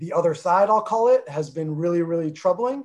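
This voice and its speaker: Here a man speaks with a New Jersey accent. His voice is high-pitched, with ordinary pitch variation. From North New Jersey, US (Armenian family). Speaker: former pro soccer player, club executive. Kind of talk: interview.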